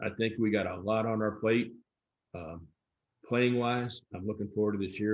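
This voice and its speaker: A man with an American accent talks at a fairly quick pace and medium pitch in an ordinary speaking voice. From US Midwest, St. Louis. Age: 60s. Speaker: soccer official, election candidate. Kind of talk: forum Q&A interview. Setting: live stream.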